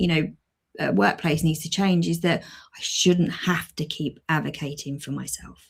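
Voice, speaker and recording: Moving at a fairly slow pace, the voice has vocal fry, big swings in loudness and ordinary pitch variation. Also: woman, very deep, low pitch for a woman. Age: 40s. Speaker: podcast co-host. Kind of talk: casual chat. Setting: live stream.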